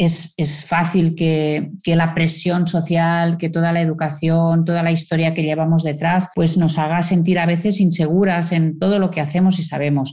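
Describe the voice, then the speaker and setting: A woman's dark, mellow voice, fairly low in pitch, at a fairly slow pace with hardly any pauses, monotone, flat intonation and very even loudness. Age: 60s. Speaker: communication consultant and author. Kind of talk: interview.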